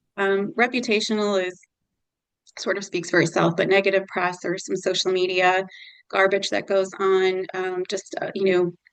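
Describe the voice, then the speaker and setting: A woman with an unremarkable speaking voice, medium pitch and fairly even intonation, at a moderate pace over a quiet background. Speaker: nonprofit consultant. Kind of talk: presentation.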